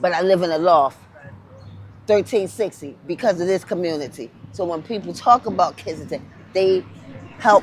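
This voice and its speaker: A woman with an American accent speaks at a moderate pace and medium pitch with ordinary variation. Music plays in the background. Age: 50s. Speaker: interviewee, former addict. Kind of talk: street interview testimony. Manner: emotional, impassioned.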